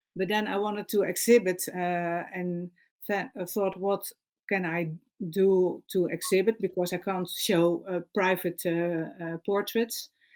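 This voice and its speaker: A woman speaks at a medium pitch and a fairly slow pace, in a monotone, flat intonation. The recording is very clean, with a silent background. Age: 60s. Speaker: painter. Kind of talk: interview. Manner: halting, many fillers.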